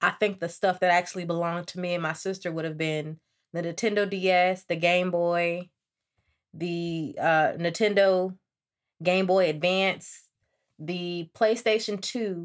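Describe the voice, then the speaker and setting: A woman with a fairly low pitch takes her words at a fairly slow pace. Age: 20s. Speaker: podcast host. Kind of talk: casual monologue. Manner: animated.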